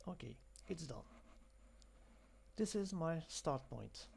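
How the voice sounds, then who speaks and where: Speaking at a fairly slow pace, a man with a French accent has a fairly high pitch. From France. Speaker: software demonstrator. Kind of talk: tutorial.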